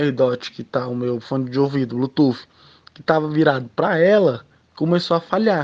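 This man talks at a moderate pace. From Ceará, Brazil. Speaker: listener. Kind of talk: testimony.

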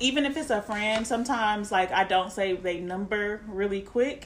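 Noticeable background noise runs through the clip. A woman speaks at fairly high pitch. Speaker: podcast host. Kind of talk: casual chat.

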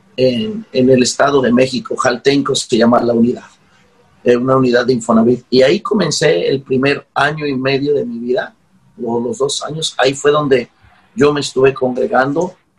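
A man with an ordinary speaking voice, medium pitch, ordinary pitch variation, and a moderate pace. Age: 40s. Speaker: pastor. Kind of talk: interview.

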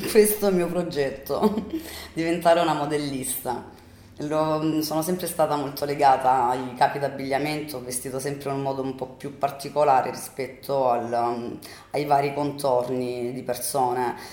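Over audible room echo, a woman with a very deep, low pitch speaks at a moderate pace with ordinary pitch variation. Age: 30s. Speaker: bartender and fashion student. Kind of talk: interview answers.

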